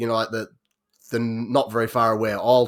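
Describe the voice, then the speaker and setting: A man with a North Yorkshire accent talks at a medium pitch in a very clean recording with a silent background. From North Yorkshire, England. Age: 30s. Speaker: podcast guest. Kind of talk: casual chat. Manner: halting.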